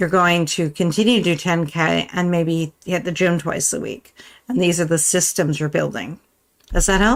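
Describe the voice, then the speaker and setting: A woman with vocal fry speaks at a moderate pace, her fairly low voice showing ordinary pitch variation. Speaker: writing and planning youtuber. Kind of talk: live stream tutorial. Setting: live stream.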